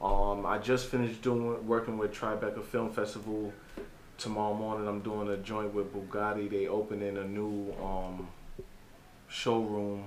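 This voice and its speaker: With a New York accent, a man speaks in a monotone, flat way at a moderate pace and a fairly low pitch against noticeable background noise. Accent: New York City. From the Bronx, New York City. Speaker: photographer and social media figure. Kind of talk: casual chat.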